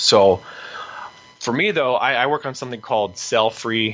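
Noticeable background noise accompanies a man speaking with an American accent at a medium pitch. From United States. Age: 20s. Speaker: PhD student and grappling competitor. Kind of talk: interview.

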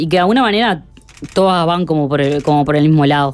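A woman with an ordinary speaking voice talks at a fairly low pitch with ordinary pitch variation. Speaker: radio reporter. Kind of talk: field report.

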